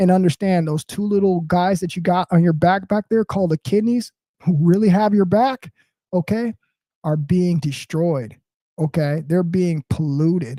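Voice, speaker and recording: A loud man talks at a moderate pace in a high pitch with a dark, mellow tone. The sound is dry and close with no echo, and his pitch varies in the ordinary way. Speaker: motivational live streamer. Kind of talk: casual live stream monologue. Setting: home apartment.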